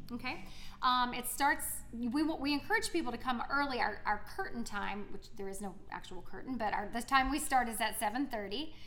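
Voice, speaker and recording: With an American accent, a woman talks at a moderate pace in a high pitch with ordinary pitch variation, amid noticeable background noise and audible room echo. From South Carolina. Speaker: theater teacher and actor. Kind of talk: casual interview.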